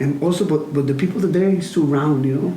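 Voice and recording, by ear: A man with a dark, mellow tone and fairly high pitch talks at a fairly quick pace with ordinary pitch variation, and audible room echo surrounds him.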